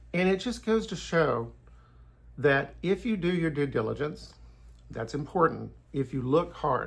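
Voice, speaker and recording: Long, frequent pauses break up this man's speech. His delivery moves at a fairly slow pace. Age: 60s. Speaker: YouTuber giving Bible and history commentary. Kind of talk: casual monologue.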